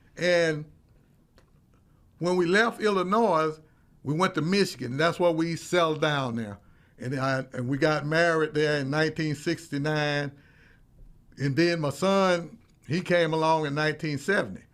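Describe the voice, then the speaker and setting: Pausing long and often, a man with a fairly high pitch speaks at a moderate pace with ordinary pitch variation on a very clean recording with a silent background. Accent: Mississippi. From US South, Meridian, Mississippi. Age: 70s. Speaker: counseling therapist, talk show host. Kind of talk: personal storytelling monologue. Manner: casual, folksy with fillers.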